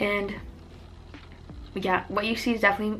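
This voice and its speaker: Audible room echo and noticeable background noise surround a woman speaking fairly briskly. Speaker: lifestyle youtuber and poet. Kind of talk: casual chat. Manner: animated.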